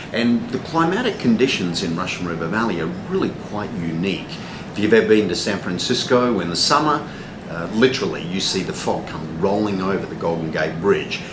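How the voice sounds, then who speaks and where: With a strong Australian accent and lively intonation, a man speaks at a fairly low pitch amid audible room echo and noticeable background noise. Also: fairly quick pace. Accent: thick (Australian). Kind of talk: interview. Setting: cafe. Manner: many fillers (um, uh).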